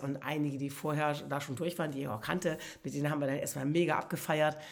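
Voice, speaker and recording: A woman's very deep, low-pitched voice at a fairly quick pace. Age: 60s. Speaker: podcast host, motivational speaker. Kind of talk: personal storytelling monologue. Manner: animated.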